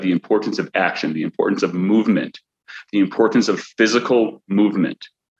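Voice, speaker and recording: A man with a Chicago accent speaks fairly low at a moderate pace and with fairly even intonation, in a dry, close sound with no echo. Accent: Chicago American English. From US Midwest, Chicago. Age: 30s. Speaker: accountant and business owner. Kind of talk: motivational talk. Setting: at home after workout. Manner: halting, many repetitions and fillers.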